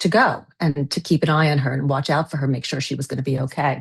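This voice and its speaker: Against a quiet background, a woman speaks fairly quickly in a somewhat breathy voice. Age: 60s. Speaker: novelist. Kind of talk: interview.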